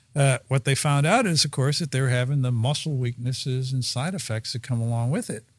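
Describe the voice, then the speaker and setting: Somewhat breathy, with an American accent and fairly even intonation, the voice comes through a very clean recording with a silent background. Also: man. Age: 70s. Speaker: pharmacist and pharma executive. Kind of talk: casual interview conversation.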